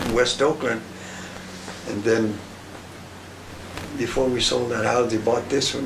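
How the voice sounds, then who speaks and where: Through noticeable background noise and audible room echo, the speaker talks at a moderate pace with an American accent and fairly even intonation. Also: man. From New Mexico, US. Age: 80s+. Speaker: elderly grandfather interviewee. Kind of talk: family oral history interview. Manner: halting, repetitive.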